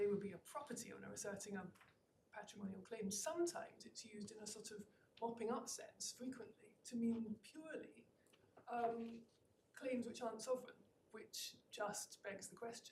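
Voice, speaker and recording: In a room with audible echo, a woman with a Scottish accent and a fairly high pitch speaks at a moderate pace, somewhat breathy, with ordinary pitch variation and big swings in loudness. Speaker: barrister. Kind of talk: legal argument in court. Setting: courtroom. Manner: formal; frequent fillers and hesitations.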